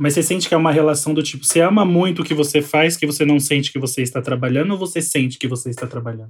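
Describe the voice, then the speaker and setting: A man with a fairly high pitch and a somewhat breathy voice talks at a very fast pace, with hardly any pauses. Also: ordinary pitch variation. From São Paulo outskirts, Brazil. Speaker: podcast co-host. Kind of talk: casual chat.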